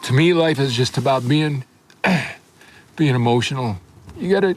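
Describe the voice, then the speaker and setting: Fairly high-pitched male voice at a moderate pace, ordinary pitch variation, noticeable background noise. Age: 70s. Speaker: fly fishing guide and casting instructor. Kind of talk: documentary interview. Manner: casual, halting.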